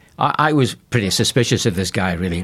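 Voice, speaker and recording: The speaker has a Scottish accent and talks fairly quickly with very wide pitch swings. The recording is very clean, with a silent background. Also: man. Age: 70s. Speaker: pastor. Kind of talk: radio interview.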